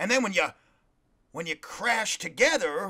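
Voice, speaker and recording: A man speaks in a raised, projected voice with a bright, sharp tone. His pace is moderate. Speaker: podcast host. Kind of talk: casual motivational monologue. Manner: animated; sounds sarcastic.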